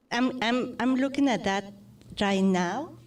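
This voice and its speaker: Lively intonation and a Spanish accent come through in a very clean recording with a silent background. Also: woman. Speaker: radio host. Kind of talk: interview.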